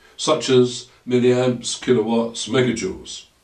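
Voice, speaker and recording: Somewhat breathy, a man talks at a fairly slow pace with an English accent, and audible room echo surrounds his voice. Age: 60s. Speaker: maths educator. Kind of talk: lecture. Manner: formal.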